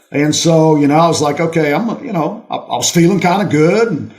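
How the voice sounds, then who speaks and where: Speaking at a fairly quick pace, a man with a high pitch shows ordinary pitch variation amid audible room echo. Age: 60s. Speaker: retired college football coach. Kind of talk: casual interview chat. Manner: animated.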